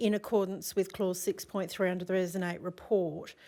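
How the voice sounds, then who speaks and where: In an Australian accent, a woman speaks very fast at a medium pitch. Her intonation is monotone and flat, and the recording is very clean with a silent background. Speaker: assessment panel member. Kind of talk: formal council meeting. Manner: loud.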